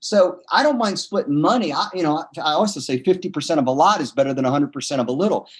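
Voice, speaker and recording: The man's tone is animated, his intonation lively, and his pitch high. He talks at a very fast pace. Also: hardly any pauses. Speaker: entrepreneur. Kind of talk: interview.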